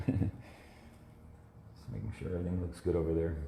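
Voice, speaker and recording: A man's very deep, low voice with a dark, mellow tone, vocal fry and fairly even intonation. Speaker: watercolor artist. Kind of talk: live painting demonstration. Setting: Facebook live stream. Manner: casual, conversational.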